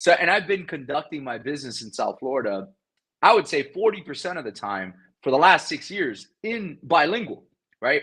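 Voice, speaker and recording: A man with a Spanish accent talks at a moderate pace in a fairly high voice with vocal fry, very wide pitch swings and big swings in loudness, against a quiet background. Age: 30s. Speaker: real estate investor. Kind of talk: interview.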